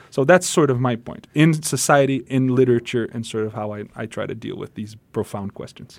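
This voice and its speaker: With a Portuguese accent, a man speaks at a fairly quick pace with hardly any pauses, his medium pitch showing ordinary variation. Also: big swings in loudness. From Brazil. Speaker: pastor and musician. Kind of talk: radio interview.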